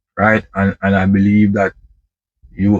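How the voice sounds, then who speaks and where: In a Jamaican accent, a man with a fairly low pitch speaks fairly slowly, the sound dry and close with no echo. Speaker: truck driver vlogger. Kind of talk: casual monologue vlog. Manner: halting, many repetitions.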